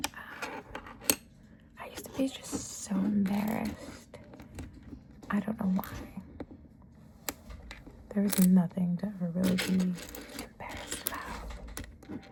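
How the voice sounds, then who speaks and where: Soft-spoken whispering comes at a fairly slow pace. Long, frequent pauses break it up. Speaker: ASMR creator. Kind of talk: ASMR soft-spoken storytime. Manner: soft-spoken, whispered.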